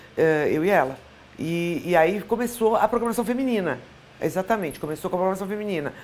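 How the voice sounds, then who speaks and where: A woman with a medium pitch speaks at a very fast pace. Her intonation is lively. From Brazil, São Paulo. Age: 60s. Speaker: former TV weather presenter. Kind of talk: interview.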